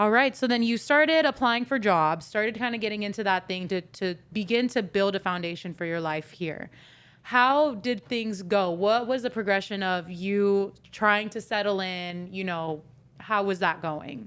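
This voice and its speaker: Spoken at a moderate pace with ordinary pitch variation and an American accent, this is a plain, everyday voice on a very clean recording with a silent background. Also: woman, medium pitch for a woman. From US. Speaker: podcast co-host. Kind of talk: casual interview chat.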